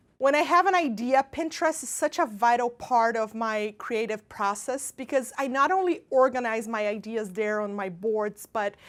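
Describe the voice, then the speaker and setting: Speaking in a Brazilian accent, a woman uses a high pitch and lively intonation. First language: Portuguese. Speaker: pastry chef. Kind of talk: baking tutorial and casual talk. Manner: animated.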